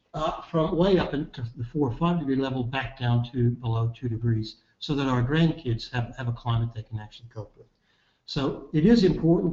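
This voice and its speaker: A somewhat breathy man talks at a fairly quick pace and medium pitch, with ordinary pitch variation and big swings in loudness. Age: 60s. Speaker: climate scientist, professor. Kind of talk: webinar presentation. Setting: online webinar. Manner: halting, with frequent fillers.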